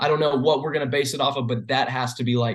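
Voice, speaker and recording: Over a quiet background, a man with a medium-pitched, somewhat breathy voice speaks very fast, his intonation fairly even. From Georgia. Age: 20s. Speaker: rock musician. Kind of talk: casual interview.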